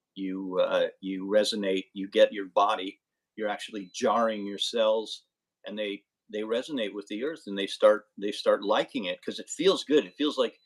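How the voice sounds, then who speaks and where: With big swings in loudness, a man talks at a moderate pace. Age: 60s. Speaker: podcast guest. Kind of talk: casual interview chat. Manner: halting, many repeated words.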